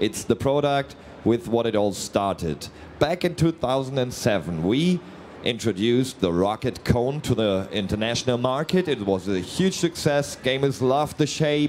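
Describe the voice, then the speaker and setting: A man speaks at a medium pitch with a slight German accent, using lively intonation. His loudness stays very even at a moderate pace. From Germany. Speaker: company representative presenting products. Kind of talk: live product presentation. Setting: trade fair booth, live stream. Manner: hesitant, many fillers.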